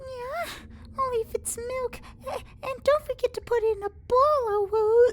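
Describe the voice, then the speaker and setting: Using a put-on character voice, a female-sounding speaker squeaks at an extremely high pitch and a fairly slow pace over clear background noise. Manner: cutesy, cringeworthy.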